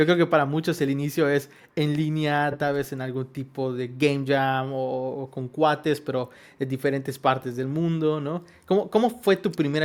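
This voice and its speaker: A man speaks with a Yucatecan accent at a moderate pace. His pitch is fairly high, and his intonation stays fairly even. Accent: Yucatecan Spanish, comes out at times. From Yucatán, Mexico (Mérida). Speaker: podcast co-host, composer. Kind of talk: casual podcast chat. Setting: home studio.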